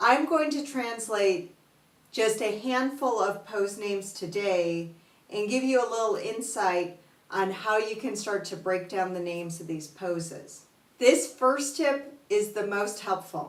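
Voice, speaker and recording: A woman with a Chicago accent speaks at a fairly slow pace in a medium pitch, with lively intonation and audible room echo. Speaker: yoga teacher. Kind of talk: tutorial.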